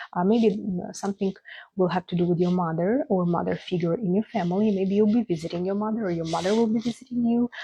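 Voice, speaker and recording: A dark, mellow, somewhat breathy tone with a non-native accent, in dry, close sound with no echo. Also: woman. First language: not English. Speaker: astrologer. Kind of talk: astrology forecast monologue. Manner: casual, hesitant with fillers.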